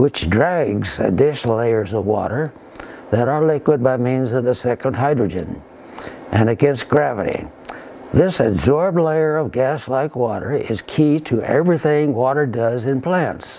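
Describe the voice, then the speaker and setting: With noticeable noise behind him, a man talks at a medium pitch with ordinary pitch variation. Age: 80s+. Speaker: retired engineer and scientist. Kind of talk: scripted presentation. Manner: formal.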